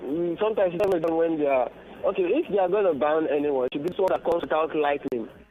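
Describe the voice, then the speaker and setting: Over noticeable background noise, a man speaks at a very fast pace in a high pitch with ordinary pitch variation. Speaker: caller. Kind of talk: phone-in call.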